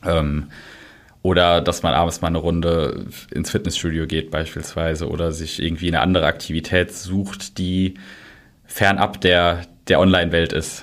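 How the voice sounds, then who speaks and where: A man's very deep, low voice stays monotone and flat throughout a very clean recording with a silent background. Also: moderate pace. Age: 20s. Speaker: social media manager. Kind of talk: interview. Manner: hesitant, many filler sounds.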